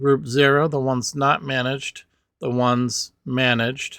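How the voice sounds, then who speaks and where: Recorded dry and close with no echo, a man has an unremarkable speaking voice. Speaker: statistics instructor. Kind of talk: tutorial.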